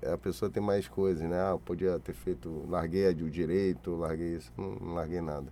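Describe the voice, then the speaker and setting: A man speaks at a moderate pace with a very deep, low pitch, a dark, mellow tone, ordinary pitch variation and hardly any pauses. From Brazil, Salvador and Rio de Janeiro. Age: 40s. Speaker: graffiti artist. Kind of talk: interview.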